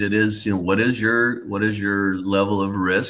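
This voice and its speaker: With an American accent, a man speaks at a fairly low pitch in a bright, sharp tone. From United States. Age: 60s. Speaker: financial advisor. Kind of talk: interview. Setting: livestream.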